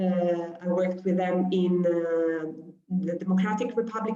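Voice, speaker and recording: Speaking at a fairly slow pace, a woman uses an Italian accent and a medium pitch. Room echo is audible. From Italy. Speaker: humanitarian doctor. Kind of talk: lecture. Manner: hesitant, many fillers.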